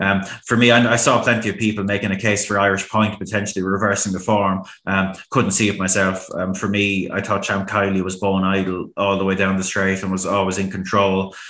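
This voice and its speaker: A man speaks at a fairly quick clip in a fairly low, bright, sharp voice with monotone, flat intonation. There are hardly any pauses, and room echo is audible. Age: 30s. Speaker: horse racing pundit. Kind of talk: casual chat.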